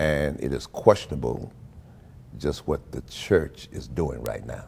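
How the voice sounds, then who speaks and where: A man speaks at a very deep, low pitch with vocal fry and ordinary pitch variation. His pace is fairly slow, and his loudness swings widely. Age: 70s. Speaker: pastor. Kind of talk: interview.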